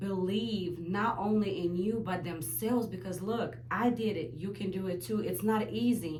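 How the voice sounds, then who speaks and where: The speech moves at a fairly slow pace. Audible room echo and noticeable background noise fill the recording. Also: woman. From Ukraine. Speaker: aspiring business owner. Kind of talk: interview testimony.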